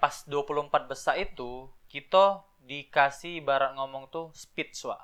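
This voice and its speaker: Very slow speech with fairly even intonation and big swings in loudness. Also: man, fairly high pitch for a man. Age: 20s. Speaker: regional tourism ambassador. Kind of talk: casual chat.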